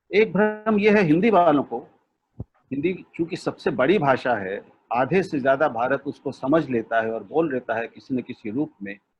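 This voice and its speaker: A man with a Punjabi accent speaks with very wide pitch swings. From India, Lucknow. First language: Punjabi (speaking Hindi). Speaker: media expert and language thinker. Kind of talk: web seminar talk. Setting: video call.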